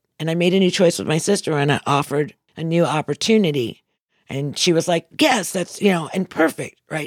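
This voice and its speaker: An ordinary speaking voice from a woman, fairly low in pitch and fairly quick, with ordinary pitch variation, dry and close with no echo, on a very clean recording with a silent background. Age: 60s. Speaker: motivational speaker. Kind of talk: inspirational talk.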